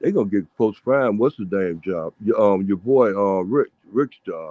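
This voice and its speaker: A man talks at a moderate pace. The sound is dry and close, with no echo. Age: 60s. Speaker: caller on a fan show. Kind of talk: casual chat. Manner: animated.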